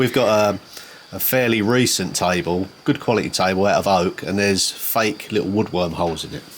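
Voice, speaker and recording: A man talks with a strong Essex accent at a fairly low pitch and fairly quick pace. His pitch variation is ordinary, with noticeable background noise. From Essex, England. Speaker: channel host, renovator. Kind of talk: casual Q&A chat.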